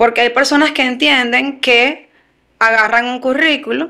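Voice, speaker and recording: Against a quiet background, a woman projects a raised, bright, sharp voice at high pitch, with ordinary pitch variation and a moderate pace. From Venezuela. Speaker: human resources consultant; guest. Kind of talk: interview. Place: studio. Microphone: studio mic.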